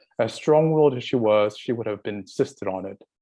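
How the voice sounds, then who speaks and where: A man's dark, mellow voice with an American accent, at a fairly quick pace and with ordinary pitch variation. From San Francisco, US West Coast. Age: 60s. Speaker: community college student giving public comment. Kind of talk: public comment at board meeting.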